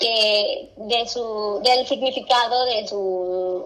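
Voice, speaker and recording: Amid noticeable background noise and audible room echo, a woman with a fairly high pitch speaks at a very slow pace with fairly even intonation. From Mexico, Zacatecas. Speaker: podcast co-host. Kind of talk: casual chat. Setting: video call.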